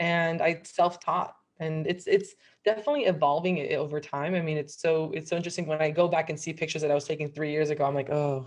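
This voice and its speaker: A very fast woman's voice, fairly low in pitch, with fairly even intonation. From Miami, Cuban-American family. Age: 30s. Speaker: nutritional therapy practitioner. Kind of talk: casual chat.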